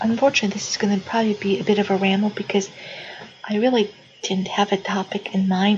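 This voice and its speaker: A woman speaks at a fairly quick pace with a medium pitch and fairly even intonation. Noticeable background noise is present. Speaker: video blogger. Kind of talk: casual vlog monologue. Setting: living room at home. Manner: soft-spoken; halting.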